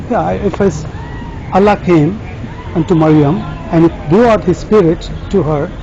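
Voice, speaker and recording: A man speaks in a high voice with ordinary pitch variation. He leaves long, frequent pauses while crowd noise carries in the background. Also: moderate pace. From Pakistan. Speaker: street evangelist. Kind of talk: heated debate.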